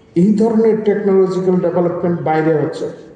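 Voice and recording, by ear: A man talks fast in a high pitch, his tone dark and mellow with ordinary pitch variation. The room echo is strong.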